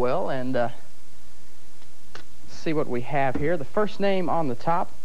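Over light background noise, a man with a fairly high pitch and lively intonation talks at a moderate pace. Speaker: TV game show host. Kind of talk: local TV game show host patter. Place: studio.

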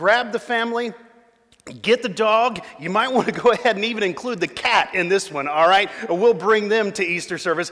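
Against a quiet background, a man speaks at a high pitch and moderate pace with ordinary pitch variation. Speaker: pastor welcoming online viewers. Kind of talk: church welcome address. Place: church.

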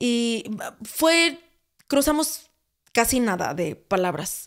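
A woman speaks with a fairly high pitch. The recording is very clean and the background silent. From Mexico, Sonora (Hermosillo). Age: 20s. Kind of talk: casual testimony chat.

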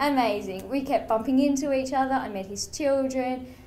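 A woman with an Australian accent speaks at a moderate pace in a high pitch. Her pitch varies in an ordinary way, with light background noise. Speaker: donor-conceived person speaker, mental health worker. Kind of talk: testimony; tearful personal testimony, voice breaking over shame. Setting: stage with audience. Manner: emotional, halting, raw and wavering. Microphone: podium.

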